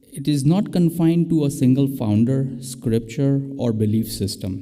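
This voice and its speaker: A man speaks with a non-native accent at a fairly slow pace. Music plays in the background, and room echo is audible. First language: not English. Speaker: interfaith guest speaker. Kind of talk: prepared talk. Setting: church with live stream.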